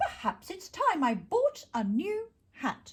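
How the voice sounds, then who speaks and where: Using a put-on character voice, a woman speaks at a fairly slow pace in an extremely high pitch with very wide pitch swings. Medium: read story. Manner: prim, proper.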